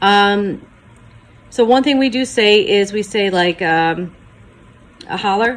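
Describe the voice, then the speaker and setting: At a very slow pace, a woman speaks in a medium pitch with ordinary pitch variation and long, frequent pauses. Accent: American. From Michigan, Detroit area. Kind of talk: casual talk to camera.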